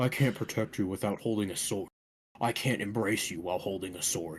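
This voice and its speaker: A man performs a put-on character voice. He talks at a fairly quick pace with a fairly low pitch. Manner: dramatic, earnest.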